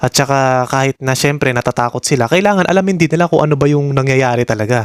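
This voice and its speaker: Speaking at a very fast pace, a man keeps a medium pitch and very even loudness, with ordinary pitch variation and a dry, close sound with no echo. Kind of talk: reaction video commentary.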